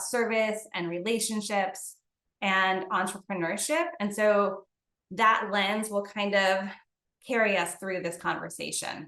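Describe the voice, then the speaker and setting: In a room with audible echo, a woman speaks fairly slowly in a bright, sharp tone with fairly even intonation. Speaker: company CEO presenting to gym owners. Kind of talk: webinar presentation. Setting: online webinar.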